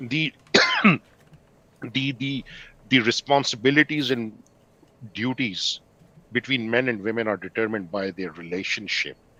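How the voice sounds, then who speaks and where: In a dry, close recording with no echo but noticeable background noise, a man of medium pitch speaks at a moderate pace with ordinary pitch variation and long, frequent pauses. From Pakistan. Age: 50s. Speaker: podcast participant. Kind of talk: casual discussion. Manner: halting.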